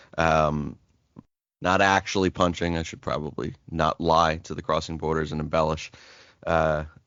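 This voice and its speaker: Very deep, low pitch from a man, monotone and flat, at a moderate pace. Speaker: sports podcast co-host. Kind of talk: casual chat. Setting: home office. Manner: halting.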